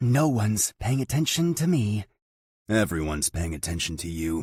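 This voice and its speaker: A man's put-on character voice at a fairly low pitch, with very wide pitch swings and a moderate pace, in a dry, close sound with no echo. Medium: read story. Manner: wry, teasing.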